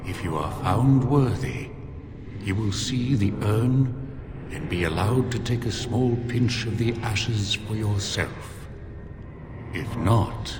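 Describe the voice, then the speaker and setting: A man's put-on character voice at medium pitch, fairly slow, with long, frequent pauses, clear echo and loud background noise. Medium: video game. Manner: slow, formal, grave.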